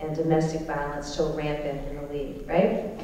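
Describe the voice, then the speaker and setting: A woman talks at a moderate pace amid strong room echo and light background noise. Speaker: speaker. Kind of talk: public speech. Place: hall.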